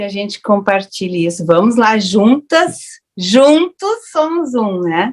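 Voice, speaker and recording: Her unremarkable speaking voice sits at a fairly high pitch for a woman, with lively intonation. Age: 60s. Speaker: raw food educator, panel speaker. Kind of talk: online panel discussion. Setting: online festival panel.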